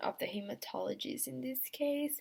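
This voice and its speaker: A woman with a non-native accent talks at a fairly slow pace. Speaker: student. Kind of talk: class presentation. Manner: halting, many fillers.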